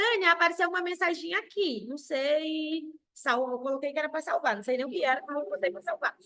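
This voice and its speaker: A woman projects a raised voice at a fairly quick pace, her high pitch bright and sharp in tone and swinging very widely. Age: 30s. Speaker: sales director. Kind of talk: motivational talk. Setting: video call.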